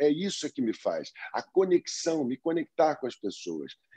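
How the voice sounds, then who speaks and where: A man's fairly high voice in a dark, mellow tone, with lively intonation at a moderate pace, dry and close with no echo. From Brazil. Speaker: actor and dancer. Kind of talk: interview.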